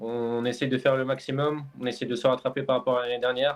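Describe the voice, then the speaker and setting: A man at a very fast pace and medium pitch, with monotone, flat intonation. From France. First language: French. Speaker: esports player. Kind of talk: post-match interview. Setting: live stream. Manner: halting.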